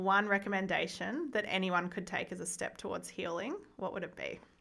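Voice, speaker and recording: A woman talks at a moderate pace with an Australian accent. Her bright, sharp tone carries lively intonation. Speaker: podcast host, education and trauma institute director. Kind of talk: casual interview. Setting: studio.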